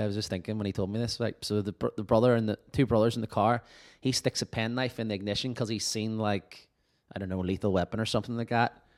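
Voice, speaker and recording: In a Northern Irish accent, a man with a fairly low pitch speaks at a very fast pace with fairly even intonation, the sound dry and close with no echo. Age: 30s. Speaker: podcast host and musician. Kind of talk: casual chat. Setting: remote call.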